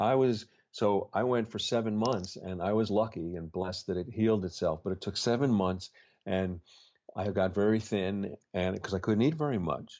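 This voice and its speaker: This man has a fairly low pitch with ordinary pitch variation. He keeps a moderate pace. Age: 60s. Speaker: poet and spiritual author. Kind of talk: reflective interview conversation. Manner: halting, with frequent fillers.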